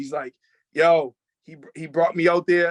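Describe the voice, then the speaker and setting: A man's high-pitched voice with a Boston accent, in dry, close sound with no echo. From Boston area, Massachusetts. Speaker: rapper and producer. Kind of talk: casual interview chat. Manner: animated, fast.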